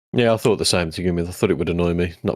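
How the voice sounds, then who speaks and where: In a very clean recording with a silent background, a man with an English accent speaks in a very deep, low voice. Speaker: podcast co-host. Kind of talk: casual chat.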